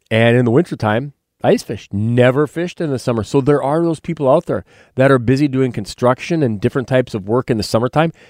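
The sound is dry and close with no echo as a man with a North Dakota accent talks at a very fast pace with ordinary pitch variation. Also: medium pitch for a man, very clean recording, silent background. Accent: Upper Midwest (North Dakota). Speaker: radio host and wildlife biologist. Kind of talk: radio talk show.

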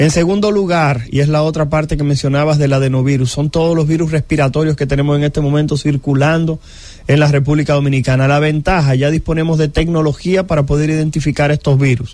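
A man with a fairly high pitch races along at a very fast pace, his loudness very even, his intonation fairly even, and hardly any pauses between words. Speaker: infectious disease doctor. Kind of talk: radio health interview.

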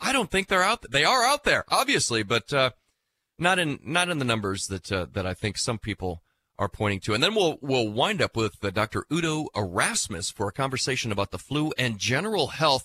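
In a very clean recording with a silent background and a dry, close sound with no echo, a man talks at a fairly quick pace with a medium pitch, a bright, sharp tone and very wide pitch swings. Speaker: radio host. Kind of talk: casual radio interview. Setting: studio.

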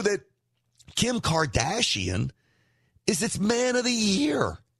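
Against a quiet background, a man with an American accent talks at a fairly slow pace in a high pitch, with a bright, sharp tone and lively intonation. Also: long, frequent pauses, very even loudness. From New York. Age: 50s. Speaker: talk radio host. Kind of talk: political commentary.

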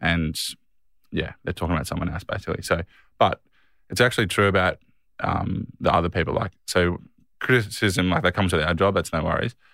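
In a very clean recording with a silent background, a man with an Australian accent speaks at a fairly quick pace in a very deep, low voice with a bright, sharp tone, ordinary pitch variation and long, frequent pauses. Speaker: professional footballer and podcast co-host. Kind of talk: casual chat.

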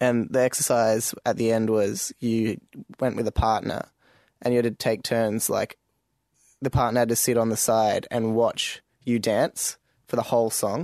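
A man with a normal speaking voice talks at a medium pitch and moderate pace, his loudness very even, in a dry, close sound with no echo. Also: fairly even intonation. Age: 20s. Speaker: podcast participant. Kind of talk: casual chat.

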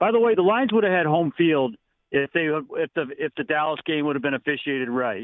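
An ordinary speaking voice moves at a moderate pace with lively intonation. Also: man, fairly high pitch for a man. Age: 60s. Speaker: caller. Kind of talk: call-in chat. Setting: phone call.

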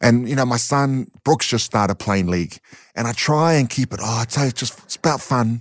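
In a New Zealand accent, the speaker goes at a moderate pace with ordinary pitch variation, in a dry, close sound with no echo. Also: man, medium pitch for a man. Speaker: community charity founder and ex-boxer. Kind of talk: interview.

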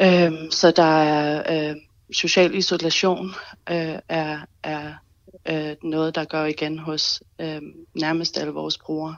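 A woman with a very deep, low pitch speaks very slowly in a monotone, flat intonation. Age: 30s. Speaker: association chairperson. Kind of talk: radio interview. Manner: halting.

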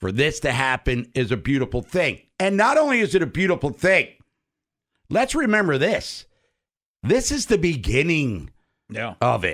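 With an American accent and vocal fry, a man speaks at a moderate pace in a fairly high pitch, with very wide pitch swings and long, frequent pauses, in a very clean recording with a silent background. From Maryland, US. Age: 50s. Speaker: sports radio host. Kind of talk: casual chat.

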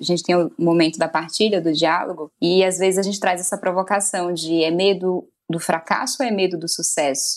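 It moves at a moderate pace. This is a plain, everyday voice. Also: woman. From Brazil, Maranhão (Northeast). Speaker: journalist and writer. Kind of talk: casual interview.

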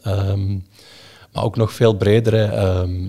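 Somewhat breathy, a man speaks in a fairly low voice with a dark, mellow tone and monotone, flat intonation. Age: 20s. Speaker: investment analyst. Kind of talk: explanatory interview. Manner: hesitant, many fillers.

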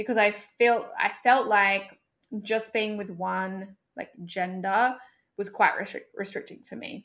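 A woman speaks in a plain, everyday voice at a medium pitch and a fairly slow pace. Her intonation stays fairly even while her loudness swings widely. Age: 30s. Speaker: sex coach. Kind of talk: casual chat.

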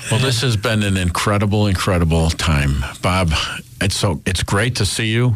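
With an American accent and noticeable background noise behind him, a man speaks at a moderate pace and a fairly low pitch, his loudness very even and his pitch variation ordinary. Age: 60s. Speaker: radio host. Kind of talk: casual chat. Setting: studio.

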